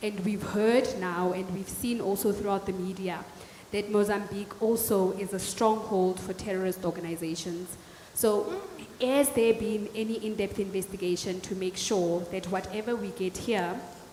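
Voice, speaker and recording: Through noticeable background noise, a woman talks at a moderate pace with fairly even intonation. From South Africa, Northern Cape (Kimberley). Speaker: audience member asking questions at a panel. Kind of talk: audience question at panel discussion.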